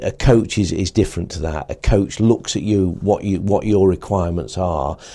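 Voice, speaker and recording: With an English accent, a man speaks in a very deep, low pitch, his dark, mellow tone held to fairly even intonation. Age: 60s. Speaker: cycling coach. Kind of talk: interview monologue.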